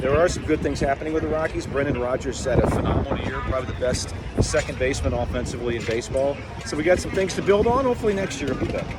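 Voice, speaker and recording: Against noticeable background noise, a man with a fairly high pitch talks at a very fast pace with lively intonation. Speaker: baseball radio play-by-play announcer. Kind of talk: casual interview answer. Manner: friendly, conversational.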